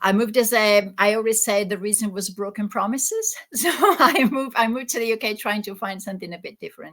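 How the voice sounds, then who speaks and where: A woman speaks with an Italian accent. Her tone is bright and sharp. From Italy. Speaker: existential therapist. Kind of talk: interview. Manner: halting, with many repeated words.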